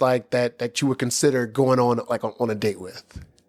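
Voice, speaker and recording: A man speaks at a moderate pace over background music, with a dry, close sound and no echo. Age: 30s. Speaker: podcast host. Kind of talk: casual chat.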